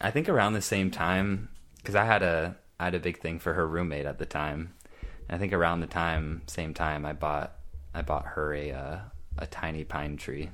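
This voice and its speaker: This man's voice sits very deep and low, with vocal fry, ordinary pitch variation and a moderate pace. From small rural town. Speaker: podcast co-host. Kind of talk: casual chat.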